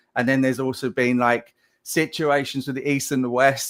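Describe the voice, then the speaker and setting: With an English accent, a man speaks at medium pitch in a flat monotone. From England. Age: 50s. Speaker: game animation director. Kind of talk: live Q&A. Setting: live stream.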